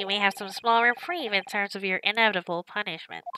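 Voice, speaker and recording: Putting on a character voice, a woman talks at a very fast pace in a medium pitch. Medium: game stream. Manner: smug, condescending.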